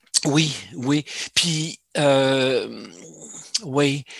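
The recording is dry and close, with no echo. The voice belongs to a man. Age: 60s. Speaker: semi-retired amateur cellist. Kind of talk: casual interview.

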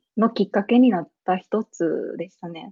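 A woman at a moderate pace. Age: 20s. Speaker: business lead at a startup. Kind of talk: casual interview. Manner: laughs often.

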